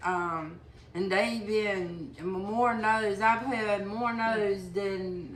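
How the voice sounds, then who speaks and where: A woman at a very slow pace, ordinary pitch variation, audible room echo. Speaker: person with chronic illness. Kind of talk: testimony. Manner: halting.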